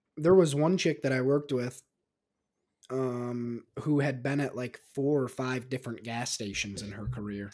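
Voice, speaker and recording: A man at a moderate pace over a quiet background, loudness swinging widely, with ordinary pitch variation. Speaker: podcast co-host. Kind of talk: casual chat. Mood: relaxed, joking banter. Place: studio. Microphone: studio mic.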